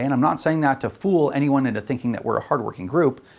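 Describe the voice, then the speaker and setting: The speaker talks at a very fast pace in a Canadian accent. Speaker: gun rights advocate. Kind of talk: video announcement.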